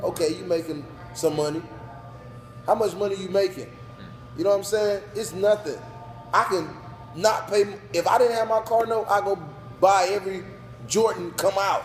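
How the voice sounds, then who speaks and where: A loud man with a high pitch, at a moderate pace with ordinary pitch variation and long, frequent pauses, over noticeable background noise. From North Carolina (New Bern). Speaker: business owner. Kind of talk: casual interview. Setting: sports bar.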